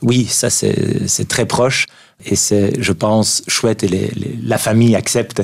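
A man speaks very slowly at a fairly low pitch. His intonation stays fairly even. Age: 50s. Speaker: neurologist and author. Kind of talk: radio interview. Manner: halting with frequent repetitions.

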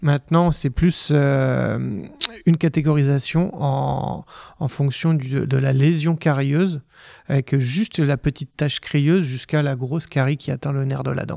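A man's plain, everyday voice, fairly high-pitched, with fairly even intonation. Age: 30s. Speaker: dentist. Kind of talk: interview.

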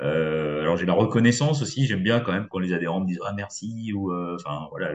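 Lively intonation marks a man's speech at a very deep, low pitch. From western France, Poitou. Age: 50s. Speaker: business network founder. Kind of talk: interview. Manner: hesitant, many fillers.

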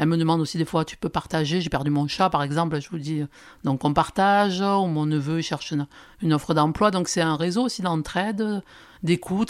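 A woman with a very deep, low pitch talks at a fairly quick pace with ordinary pitch variation. The recording is very clean and the background silent. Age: 60s. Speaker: social media influencer. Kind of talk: testimony. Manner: halting.

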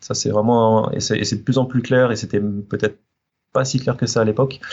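A man talks at a moderate pace. His pitch is medium and his intonation fairly even. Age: 30s. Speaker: teacher, former aeronautical engineer. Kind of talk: interview. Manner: halting, many hesitations.

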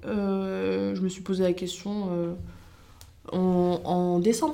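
Very slowly, a woman speaks in a dark, mellow tone with audible room echo. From France, Loiret (Montargis). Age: 20s. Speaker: social media creator and former cook. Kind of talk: casual interview chat. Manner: energetic.

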